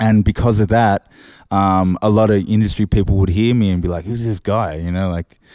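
On a very clean recording with a silent background and a dry, close sound with no echo, a man with an Australian accent speaks at a moderate pace in a dark, mellow tone with fairly even intonation. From Australia, Sydney. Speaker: DJ and equipment tutor. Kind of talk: casual interview. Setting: studio.

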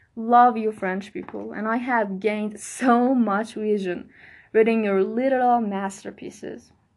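A woman with a Persian accent speaks at a fairly high pitch and a fairly slow pace, her intonation fairly even. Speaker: podcast host. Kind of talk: solo monologue, book recommendations. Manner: casual, laughing often.

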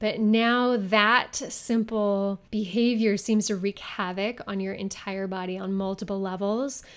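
Here a woman has an ordinary speaking voice, fairly high in pitch with ordinary pitch variation. The recording is very clean, with a silent background. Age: 30s. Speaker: fitness podcast host. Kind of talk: solo podcast talk.

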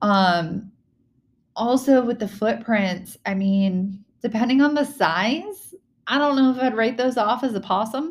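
Somewhat breathy, a woman with an American accent talks at a fairly slow pace, with a fairly high pitch and lively intonation. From Virginia. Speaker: paranormal podcast host. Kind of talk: casual solo podcast talk. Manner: hesitant with fillers.

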